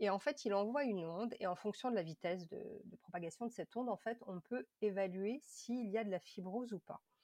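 With a dark, mellow tone at medium pitch, a woman speaks at a fairly quick pace with hardly any pauses and ordinary pitch variation. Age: 30s. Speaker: patient advocate, former liver disease patient. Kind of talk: testimony.

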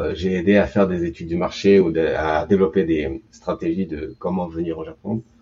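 A man talks in a very deep, low pitch with fairly even intonation. He leaves hardly any pauses. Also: moderate pace. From Japan, Tokyo. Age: 40s. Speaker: startup consultant. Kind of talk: interview. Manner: halting.

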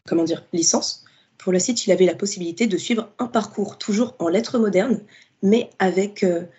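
Somewhat breathy, this woman's voice has a medium pitch. It belongs to a woman. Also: ordinary pitch variation, moderate pace. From Paris suburbs, France. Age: 20s. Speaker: literature student and book influencer. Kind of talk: interview.

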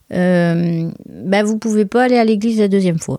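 Against music in the background, a woman speaks at a moderate pace with lively intonation and an animated tone, the sound dry and close with no echo. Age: 40s. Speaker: wedding planner and podcast host. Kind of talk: solo podcast monologue. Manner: animated, laughing often.

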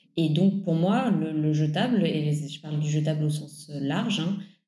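A woman with a very deep, low pitch and a dark, mellow, somewhat breathy tone speaks with fairly even intonation amid audible room echo. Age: 30s. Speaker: environmental campaigner. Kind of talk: interview.

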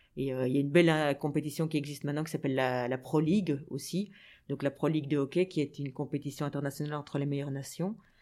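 In a very clean recording with a silent background, a woman speaks very fast in a very deep, low voice with a dark, mellow tone. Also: fairly even intonation. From Belgium, Brussels (Anderlecht). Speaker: sports journalist and TV presenter. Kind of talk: interview.

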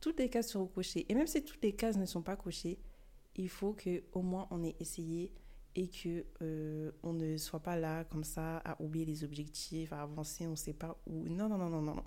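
A woman speaks at a moderate pace in a fairly low pitch with a dark, mellow tone. Her pitch variation is ordinary. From France (born in Mali). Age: young (19). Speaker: podcaster, student. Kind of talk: solo podcast monologue.

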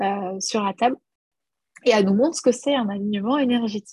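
A woman speaks at a very fast pace in a fairly high, somewhat breathy voice with a dark, mellow tone. The sound is dry and close, with no echo. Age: 30s. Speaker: business coach and entrepreneur. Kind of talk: casual interview.

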